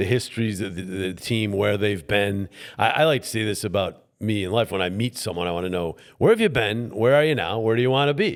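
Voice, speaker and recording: Someone with an American accent talks in a normal speaking voice at a fairly quick pace with ordinary pitch variation. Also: man, fairly low pitch for a man. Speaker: play-by-play sports broadcaster, voiceover mentor. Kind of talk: interview answer, conversational storytelling.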